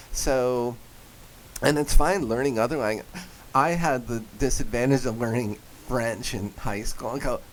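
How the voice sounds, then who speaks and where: A man with a New Jersey accent speaks at a medium pitch and a fairly slow pace. He leaves long, frequent pauses, and his pitch varies in an ordinary way. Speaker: voice actor and comedian. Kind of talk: radio interview. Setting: radio studio. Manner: animated.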